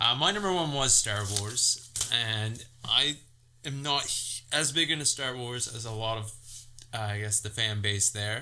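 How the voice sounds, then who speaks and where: Speaking at a fairly slow pace, a man has a medium pitch with ordinary variation and a bright, sharp tone. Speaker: movie podcast co-host. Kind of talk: casual chat. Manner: halting.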